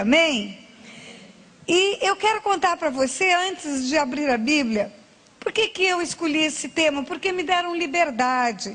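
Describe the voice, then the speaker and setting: Her pace is fairly slow. The woman's voice is high-pitched, with lively intonation. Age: 60s. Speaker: pastor. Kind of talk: sermon.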